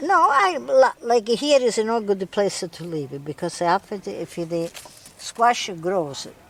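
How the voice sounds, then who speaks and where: Very wide pitch swings and big swings in loudness from a woman at medium pitch and a fairly slow pace, with noticeable background noise. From Calabria, southern Italy. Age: 80s+. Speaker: home gardener. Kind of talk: casual chat. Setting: outdoors.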